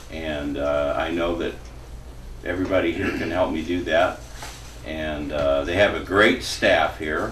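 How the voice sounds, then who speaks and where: A man speaks at a fairly slow pace with a very deep, low pitch and ordinary pitch variation. Noticeable background noise and audible room echo are present. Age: 60s. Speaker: recovering addict in treatment program. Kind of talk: testimony. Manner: halting.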